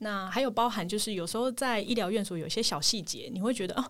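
A woman with a normal speaking voice, medium pitch and a fairly quick pace, on a very clean recording with a silent background. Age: 30s. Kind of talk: casual interview chat.

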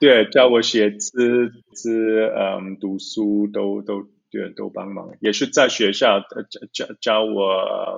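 This man's voice sits at a fairly low pitch. His intonation stays fairly even. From Zurich, Switzerland. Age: 30s. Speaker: lawyer. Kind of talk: interview. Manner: halting, many fillers.

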